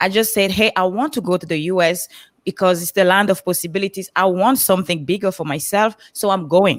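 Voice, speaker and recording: A fairly quick pace in a Cameroonian accent, on a very clean recording with a silent background and a dry, close sound with no echo. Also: woman. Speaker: motivational speaker on a coaching panel. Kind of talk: panel livestream talk, personal story.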